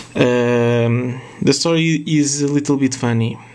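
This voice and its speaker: With audible room echo and noticeable background noise, a man speaks at a very slow pace with ordinary pitch variation. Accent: non-native. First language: not English. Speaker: retro game collector, YouTuber. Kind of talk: casual video monologue. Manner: halting, many fillers.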